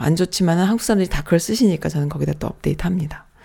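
This woman's voice sits fairly low, with a dark, mellow tone and ordinary pitch variation. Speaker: internet radio host. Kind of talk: casual radio talk with listener messages.

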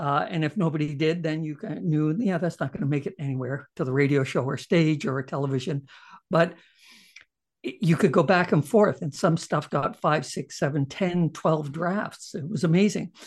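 A man with a Canadian accent speaks at a moderate pace in a fairly high pitch, with ordinary pitch variation and a plain, everyday voice. The background is quiet. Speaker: comedian and TV writer-producer. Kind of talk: interview.

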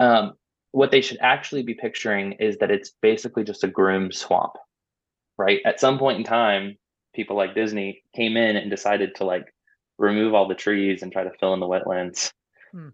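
Against a quiet background, a man with an American accent and a fairly low pitch talks at a moderate pace in a plain, everyday voice. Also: fairly even intonation. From US South, Orlando, Florida. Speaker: youth ministry staff member. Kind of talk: casual interview.

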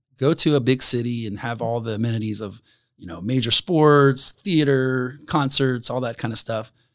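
A man with a Midwestern US accent, moderate pace and ordinary pitch variation. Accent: US Midwest. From Indiana, Grant County area. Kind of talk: casual interview.

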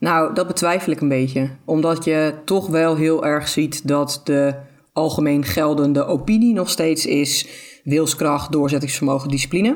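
This woman has a very deep, low pitch, ordinary pitch variation, very even loudness and a fairly slow pace. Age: 30s. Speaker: intuitive eating expert. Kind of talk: podcast interview.

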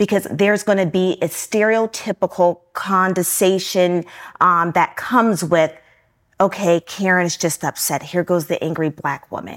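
An unremarkable speaking voice from a woman at a moderate pace, medium in pitch, with ordinary pitch variation. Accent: American. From Newport News, Virginia. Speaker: author and business consultant. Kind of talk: interview.

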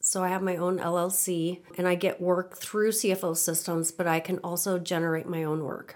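A Midwestern American accent at a moderate pace. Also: woman. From Nebraska, US Midwest. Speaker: finance professional. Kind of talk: interview.

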